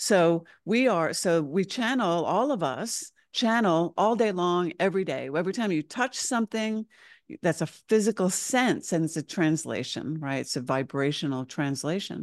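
A woman speaks in a normal speaking voice with a fairly low pitch and lively intonation at a moderate pace. The sound is dry and close with no echo, and the background is quiet. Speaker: spiritual channel and teacher. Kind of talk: casual interview chat.

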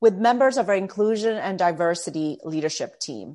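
A woman with a Canadian accent speaks at a medium pitch with lively intonation. The background is quiet. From Canada, Toronto. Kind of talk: interview.

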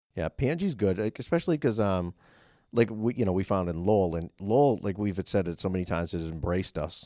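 A man speaks at a fairly quick pace in a Boston accent, with a very deep, low pitch and a dark, mellow tone. The sound is dry and close with no echo. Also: very clean recording, silent background. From Massachusetts. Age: 40s. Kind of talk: casual chat. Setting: office at the state house.

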